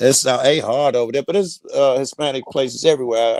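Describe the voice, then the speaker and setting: With an American accent, a man talks at a fairly quick pace in a medium pitch with ordinary pitch variation, the sound dry and close with no echo but with noticeable background noise. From Chicago, West Side. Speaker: panel guest. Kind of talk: casual chat.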